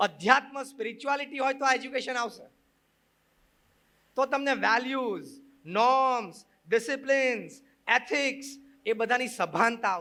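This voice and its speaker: A man projects a raised voice at an extremely high pitch with a bright, sharp tone. The recording is very clean with a silent background. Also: ordinary pitch variation. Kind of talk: religious discourse to an audience. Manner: mixes Gujarati with English phrases.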